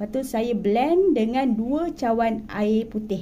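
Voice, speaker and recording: Against noticeable background noise and audible room echo, a woman with a Malaysian accent speaks at a very slow pace, her fairly high pitch varying in an ordinary way. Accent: Malaysian Malay. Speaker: cooking vlogger. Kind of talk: cooking tutorial.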